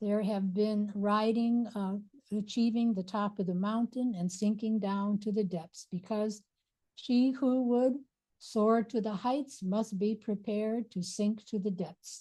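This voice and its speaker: A woman speaks at a fairly slow pace with a fairly high pitch, a dark, mellow tone, a somewhat breathy quality and fairly even intonation. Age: 80s+. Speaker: abdominal therapy teacher. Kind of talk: lecture. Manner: casual, reflective.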